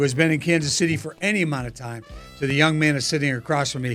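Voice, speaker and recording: Music plays in the background as a man talks. His pace is very fast, with ordinary pitch variation. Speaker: podcast host. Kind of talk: interview questions.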